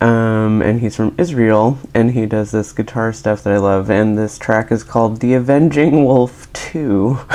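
The tone is upbeat, with music playing in the background. The pace is fairly slow, yet there are hardly any pauses. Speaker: radio host. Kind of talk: community radio DJ patter: station ID, song intros and back-announcements between records. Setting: radio studio broadcast. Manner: chatty, upbeat and giggly, gushing about songs and new friends, casual and a bit quirky.

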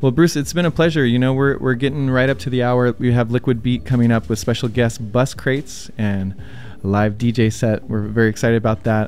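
Over background music, a man talks at a fairly quick pace with a medium pitch and ordinary pitch variation. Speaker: radio host. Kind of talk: radio DJ patter, station IDs and guest intros between tracks. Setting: studio.

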